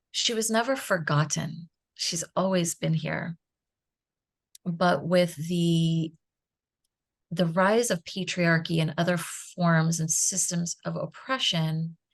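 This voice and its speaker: A somewhat breathy, fairly low-pitched woman at a very slow pace, with ordinary pitch variation and long, frequent pauses. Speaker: Reiki master and feminine energy mentor. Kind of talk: podcast interview answer.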